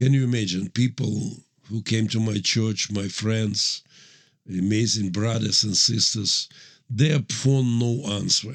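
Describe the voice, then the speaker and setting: With a Ukrainian accent, a man speaks very slowly at a medium pitch and with ordinary pitch variation. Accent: Russian-speaking Ukrainian accent in English. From Ukraine, Mariupol. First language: Russian. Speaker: pastor and military chaplain. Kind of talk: interview testimony. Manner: halting non-native English.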